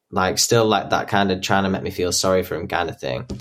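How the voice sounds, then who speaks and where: This man has a Yorkshire accent. His pitch is very deep and low. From northern England, Yorkshire (Doncaster). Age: young. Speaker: abuse survivor. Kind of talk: testimony. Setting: remote call.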